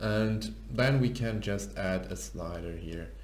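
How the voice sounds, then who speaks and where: A man with a non-native accent, with audible room echo. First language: not English. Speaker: programmer and tech YouTuber. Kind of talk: tutorial. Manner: halting.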